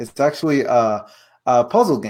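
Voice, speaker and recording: A man with a Spanish accent talks at a fairly slow pace in a dark, mellow tone of medium pitch. The recording is very clean, with a silent background. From Puerto Rico. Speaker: board game designer. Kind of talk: interview. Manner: halting.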